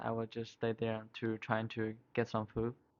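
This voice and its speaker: This man talks at a very slow pace. He has a non-native accent. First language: not English. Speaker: college student. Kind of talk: casual chat. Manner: halting.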